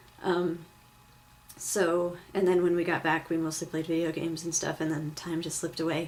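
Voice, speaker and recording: A woman's fairly low voice, monotone and flat in intonation. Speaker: vlogger. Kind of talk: casual vlog. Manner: fast; filler-heavy, lots of um and like.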